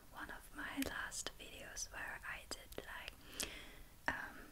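A woman whispers at a very slow pace. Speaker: ASMR creator. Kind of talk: ASMR whispered talk to camera. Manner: soft-spoken, whispered. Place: home room.

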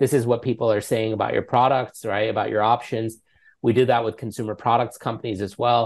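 In a New York accent, a man speaks at a fairly quick pace with monotone, flat intonation over a quiet background. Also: medium pitch for a man. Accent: American (New York). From New York City. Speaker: app founder and CEO. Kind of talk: interview. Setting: remote call. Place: home room. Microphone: earbuds.

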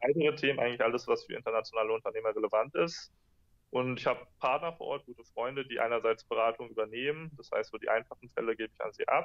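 Loudness rises and falls in big swings at a very fast pace. The background is quiet. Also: man. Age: 20s. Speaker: entrepreneur and blogger; interview guest, entrepreneur blogger. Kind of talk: interview. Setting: video call.

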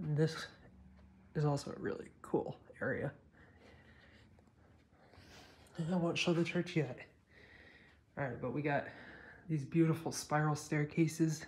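Long, frequent pauses over light background noise. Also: moderate pace. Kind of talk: casual vlog chat. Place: church.

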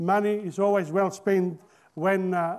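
Fairly slow and fairly even in intonation, a man speaks at a high pitch. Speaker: poet. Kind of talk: casual talk to camera. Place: studio. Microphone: studio mic.

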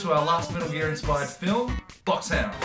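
Clear music plays in the background. Over it, a man speaks at a very fast pace. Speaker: filmmaker. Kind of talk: casual talk to camera. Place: home room.

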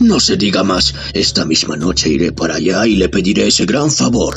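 Over clear background noise, a man puts on a character voice with a very deep, low pitch. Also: moderate pace, very even loudness. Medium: audio drama.

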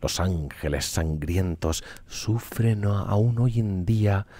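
Soft-spoken and somewhat breathy, the voice has a dark, mellow tone with a calm, dramatic tone. Pitch varies in an ordinary way, and the sound is dry with no echo. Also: man. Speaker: streamer reading lore. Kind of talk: storytelling narration (ASMR-style reading of game lore). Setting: live Twitch stream. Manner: slow, calm, soft-spoken, bedtime-story pace with dramatic weight. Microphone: studio mic.

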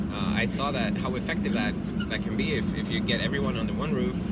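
Loud background noise fills this recording of a man. The sound is dry, with no echo. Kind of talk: casual vlog chat. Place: car. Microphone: phone near.

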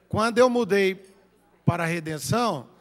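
This man's voice is high-pitched. His pace is fairly slow. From Goiânia, Brazil; Brazil. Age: 50s. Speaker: city councillor. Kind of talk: political speech; reading of minutes. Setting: council chamber. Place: hall. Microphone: podium.

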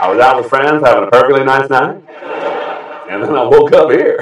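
Very fast male speech with ordinary pitch variation, audible room echo and a quiet background. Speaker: late-night talk show host. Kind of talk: late-night comedy monologue. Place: studio.

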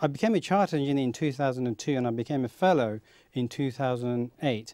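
A man with a medium pitch and a dark, mellow tone speaks against a quiet background, the sound dry with no echo. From Kent, England (born in Bangladesh); Kent, England. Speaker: aerospace engineer; talk show guest. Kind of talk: interview; interview answer. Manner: hesitant. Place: studio. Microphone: lapel.

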